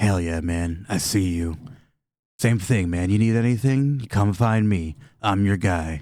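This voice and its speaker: A man's put-on character voice, fairly low and drawling, at a moderate pace in a very clean recording with a silent background. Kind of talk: surfer-stoner caricature. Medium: actual play. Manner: drawling, says "man" constantly.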